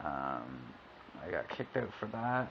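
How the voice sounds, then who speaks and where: Fairly slow pace amid noticeable background noise. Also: man. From Canada, Ontario. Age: 20s. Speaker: video blogger. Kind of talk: personal testimony. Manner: halting, many fillers.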